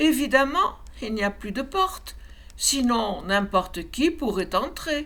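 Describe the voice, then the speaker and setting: A female-sounding, high-pitched put-on character voice at a fairly slow pace, with light background noise. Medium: read story. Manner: mysterious, playful.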